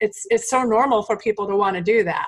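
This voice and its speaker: A woman with an ordinary speaking voice, medium pitch, and ordinary pitch variation. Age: 40s. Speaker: podcast host. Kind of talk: casual interview.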